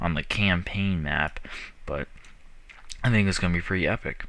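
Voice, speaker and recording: A mumbling man talks at a very deep, low pitch. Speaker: gaming youtuber. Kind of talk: game commentary. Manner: casual, hesitant.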